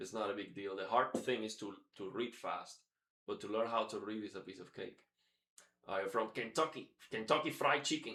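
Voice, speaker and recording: With a Spanish accent, a man speaks in a bright, sharp tone at a medium pitch with ordinary pitch variation. His loudness swings widely. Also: moderate pace. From Cuba. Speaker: guitar teacher. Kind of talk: live stream guitar lesson. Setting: live stream. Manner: casual, halting with fillers.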